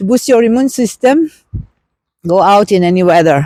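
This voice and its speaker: This woman has a dark, mellow tone at medium pitch. Her intonation is lively. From Austria. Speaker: vlogger. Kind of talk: walking vlog. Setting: outdoors. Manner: casual, unscripted.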